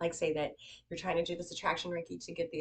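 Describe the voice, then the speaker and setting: A woman is speaking. Her voice has vocal fry. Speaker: reiki and yoga teacher. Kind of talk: tutorial. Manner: fast; casual.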